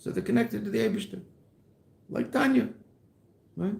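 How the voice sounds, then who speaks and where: Very wide pitch swings with audible room echo. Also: man. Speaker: rabbi teaching Chassidus. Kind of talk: lecture. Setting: classroom.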